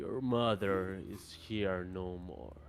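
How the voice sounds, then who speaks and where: A man puts on a character voice with a very deep, low pitch. Background noise is clearly audible. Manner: ominous, solemn.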